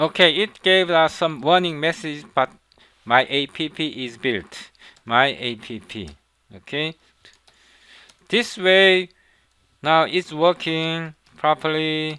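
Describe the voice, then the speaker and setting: A man with a Korean accent talks at a very slow pace and fairly high pitch, with ordinary pitch variation, big swings in loudness, and long, frequent pauses. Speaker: programming instructor. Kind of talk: tutorial. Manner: halting, with frequent fillers and repetitions.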